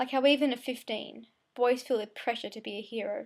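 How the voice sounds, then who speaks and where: With an Australian accent, a woman speaks at a high pitch in a monotone, flat intonation. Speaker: amateur poet. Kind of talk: spoken word poetry. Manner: fast; occasional stumbles.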